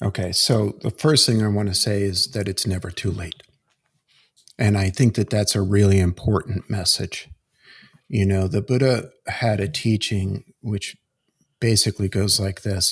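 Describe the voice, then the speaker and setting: This man's fairly low, somewhat breathy voice moves at a moderate pace with fairly even intonation, recorded very cleanly against a silent background with a dry, close sound and no echo. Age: 60s. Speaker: executive coach. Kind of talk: podcast interview.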